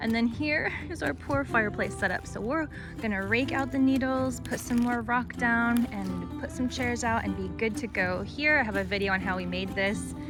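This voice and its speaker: With music in the background, a woman with an American accent keeps a moderate pace and hardly pauses. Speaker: lifestyle blogger. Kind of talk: casual home tour talk to camera.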